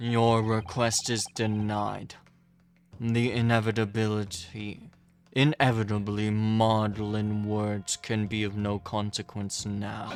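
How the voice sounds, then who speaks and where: Using a put-on character voice, a man speaks at a fairly slow pace and fairly low pitch, in a monotone, flat intonation. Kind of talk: formal courtroom speech. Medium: game stream. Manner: cold, imperious, measured.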